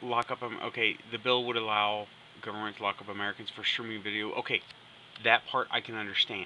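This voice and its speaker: Over light background noise, a man of medium pitch speaks with monotone, flat intonation at a fairly quick pace, broken by long, frequent pauses. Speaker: gameplay video maker. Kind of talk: casual talk to camera. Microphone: phone near.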